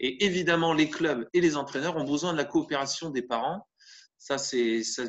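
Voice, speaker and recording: Here a man speaks at a moderate pace and a fairly high pitch, with ordinary pitch variation. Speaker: volleyball trainer running a parent training webinar. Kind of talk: online training webinar. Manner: hesitant, many fillers and repetitions.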